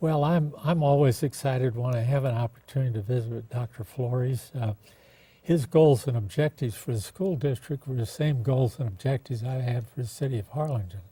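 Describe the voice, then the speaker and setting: A man with an American accent at a medium pitch, somewhat breathy with a dark, mellow tone, talking at a fairly quick pace with ordinary pitch variation. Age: 80s+. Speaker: former mayor. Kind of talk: interview.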